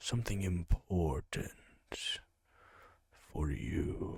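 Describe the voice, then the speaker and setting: Using a put-on character voice, a man speaks in a menacing tone at a very slow pace and a very deep, low pitch. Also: lively intonation. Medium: game stream. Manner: polite, halting, menacing.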